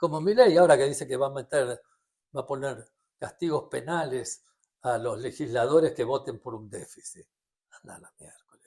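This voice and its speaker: A man with a Rioplatense accent speaks at a moderate pace in a fairly high pitch. His tone is dark and mellow, and somewhat breathy. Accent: Argentine Rioplatense Spanish. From Argentina. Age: 70s. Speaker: economist. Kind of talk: interview. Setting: at his home.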